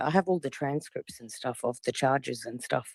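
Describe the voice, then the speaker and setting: Speaking in an Australian accent at a fairly quick pace, a woman uses a very deep, low pitch with ordinary pitch variation, and the sound is dry and close with no echo. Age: 40s. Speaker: caller in a live audio room. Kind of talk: casual chat.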